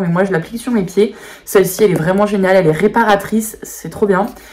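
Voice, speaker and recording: The speaker talks at a very fast pace. Noticeable background noise is present. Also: woman. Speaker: beauty YouTuber. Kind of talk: casual product show-and-tell video.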